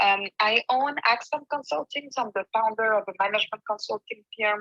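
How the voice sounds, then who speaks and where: A woman's bright, sharp, fairly high voice with a slight French accent, at a fairly quick pace with ordinary pitch variation, dry and close with no echo. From France. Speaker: management consultant, business founder. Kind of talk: panel discussion.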